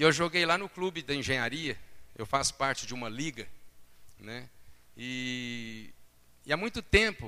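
A man's medium-pitched voice, bright and sharp, with lively intonation at a fairly slow pace. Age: 40s. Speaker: preacher. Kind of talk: sermon.

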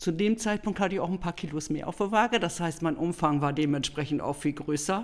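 Speaking fairly quickly, a woman with a fairly low voice shows ordinary pitch variation in a very clean recording with a silent background. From northern Germany, between Bremen and Bremerhaven. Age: 50s. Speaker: hula hoop trainer in training. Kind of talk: interview storytelling. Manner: animated.

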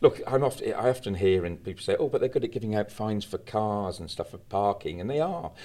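Speaking at a very fast pace, a man with a British accent is captured on a very clean recording with a silent background. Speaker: campaigner, founder of anti-litter charity. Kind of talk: interview discussion. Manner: passionate, animated.

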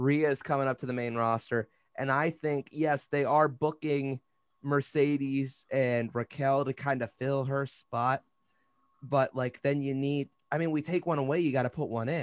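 A man's fairly high voice at a moderate pace, dry and close with no echo, over a quiet background. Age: 20s. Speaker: wrestling podcast host. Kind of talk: casual chat. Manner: animated.

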